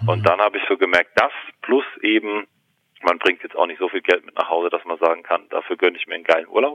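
A man rushes through his words at a very fast pace. His volume jumps up and down a lot. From Germany, Palatinate. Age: 30s. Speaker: actor and pain therapist. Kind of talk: casual interview conversation. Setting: phone call. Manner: talkative, many fillers.

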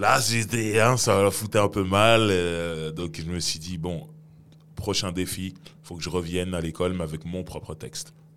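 This man's voice is very deep and low, with ordinary pitch variation. He speaks at a fairly slow pace, and his loudness swings a lot. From Sarcelles, Paris suburbs, France. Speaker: rapper. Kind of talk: casual interview.

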